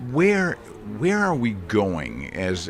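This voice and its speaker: With an American accent, a man talks at a fairly slow pace and very wide pitch swings, amid noticeable background noise and audible room echo. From US (Minnesota). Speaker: interviewer. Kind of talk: interview.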